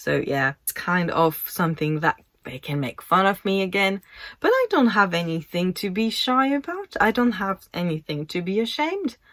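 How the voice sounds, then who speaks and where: With a French accent and very wide pitch swings, a woman speaks at a medium pitch in a dry, close recording with no echo, very clean and with a silent background. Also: moderate pace. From France. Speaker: YouTuber and model. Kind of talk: casual vlog monologue. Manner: hesitant, conversational.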